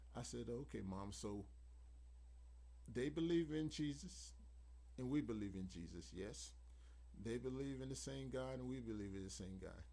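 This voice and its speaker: The voice has a dark, mellow tone, somewhat breathy, with lively intonation. It moves at a moderate pace, broken by long, frequent pauses. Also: man, very deep, low pitch for a man. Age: 60s. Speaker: YouTube vlogger. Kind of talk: personal reflection monologue.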